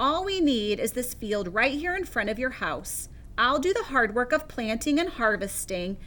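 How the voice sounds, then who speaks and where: In a put-on character voice pitched high, a woman talks at a moderate pace over clear background noise. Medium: read story. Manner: friendly, persuasive.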